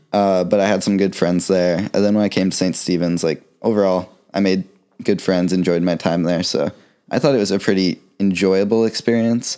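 In a very clean recording with a silent background, a man with an American accent speaks in a very deep, low pitch and a dark, mellow tone, with fairly even intonation and very even loudness. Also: moderate pace. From Florida. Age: young. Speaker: college student. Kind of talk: casual chat.

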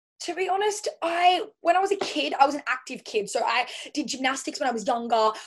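With an Australian accent, a high-pitched woman talks at a fairly quick pace, her pitch swinging very widely. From Australia, Central Coast of New South Wales. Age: 20s. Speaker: personal trainer. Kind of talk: casual interview. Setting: remote call.

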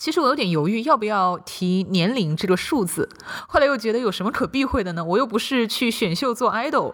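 Very fast talk from a woman with fairly high pitch and very wide pitch swings. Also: very clean recording, silent background. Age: 30s. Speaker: podcast host and writer. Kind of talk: personal monologue.

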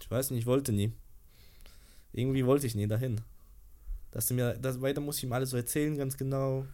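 A man speaks at a very fast pace with long, frequent pauses. His medium-pitched voice has a dark, mellow tone and a monotone, flat intonation. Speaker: social media creator. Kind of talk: casual chat.

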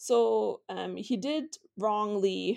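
Against a quiet background, a woman speaks with a German accent. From Vienna, Austria. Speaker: historian and author. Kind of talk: interview.

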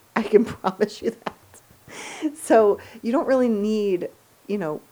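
A woman speaks at a very slow pace with lively intonation. Noticeable background noise runs underneath. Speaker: fitness podcast host. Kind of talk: casual solo monologue. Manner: chatty, rambling.

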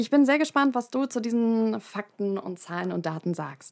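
Lively in intonation, a woman speaks with a fairly high pitch and a dark, mellow tone. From Hamburg, northern Germany. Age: 20s. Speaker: podcast host, university student. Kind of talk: casual interview.

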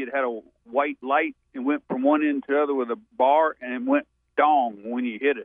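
A man speaks fairly quickly at a fairly high pitch. His intonation stays fairly even. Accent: Southern US. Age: 50s. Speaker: caller. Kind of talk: casual chat. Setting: phone call.

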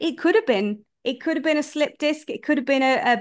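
The speaker has a British accent and ordinary pitch variation. The background is quiet. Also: woman. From UK. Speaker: life coach. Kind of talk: interview.

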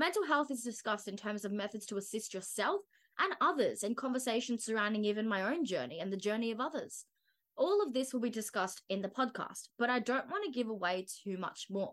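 A woman speaks fairly quickly with a fairly high pitch, lively intonation and an Australian accent. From Australia, Brisbane. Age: 20s. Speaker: wellness podcaster and media student. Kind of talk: scripted solo podcast monologue.

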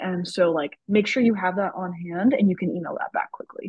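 The delivery comes at a fairly quick pace and sounds somewhat breathy. Intonation stays fairly even. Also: woman. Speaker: medical student podcast host. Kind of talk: casual chat.

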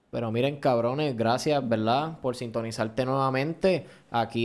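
Noticeable background noise sits behind a man. He speaks at a moderate pace with ordinary pitch variation. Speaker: podcast host. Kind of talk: casual chat.

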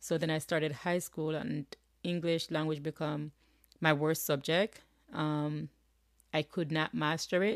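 A woman with a Jamaican accent speaks at a fairly slow pace in a very deep, low pitch, with fairly even intonation and long, frequent pauses. The sound is dry and close, with no echo. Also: very clean recording, silent background. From rural Jamaica. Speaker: podcast host. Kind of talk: solo motivational talk. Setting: home office.

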